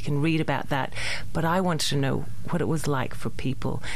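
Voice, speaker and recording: A woman's very deep, low voice in an Australian accent, with ordinary pitch variation, noticeable background noise and audible room echo. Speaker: theatre maker. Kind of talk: radio interview. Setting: radio studio.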